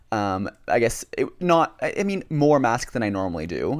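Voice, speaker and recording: At a moderate pace, a man talks with a plain, everyday voice and ordinary pitch variation, recorded very cleanly against a silent background. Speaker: podcast co-host. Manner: chatty, playful.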